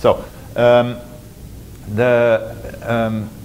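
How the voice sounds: Over faint background noise, a man speaks at a very slow pace and a medium pitch. His slightly mellow tone carries monotone, flat intonation.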